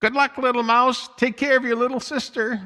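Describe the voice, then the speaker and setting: This man puts on a character voice at an extremely high pitch. It sounds croaky and moves at a moderate pace. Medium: read story. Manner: enthusiastic, talkative.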